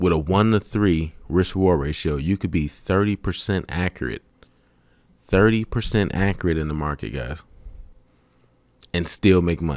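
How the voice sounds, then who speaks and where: At a moderate pace with ordinary pitch variation and long, frequent pauses, the voice comes through in a very clean recording with a silent background and a dry, close sound with no echo. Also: man, very deep, low pitch for a man. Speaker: forex trading educator. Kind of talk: tutorial. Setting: webcam recording. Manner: low, sometimes mumbling.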